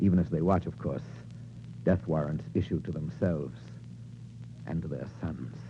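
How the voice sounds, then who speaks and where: Dramatic in tone, a man speaks with a dark, mellow tone, vocal fry and very wide pitch swings. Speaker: radio narrator / actor. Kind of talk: vintage radio drama narration, 1940s. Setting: old radio broadcast recording. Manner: dramatic, rhythmic, declamatory.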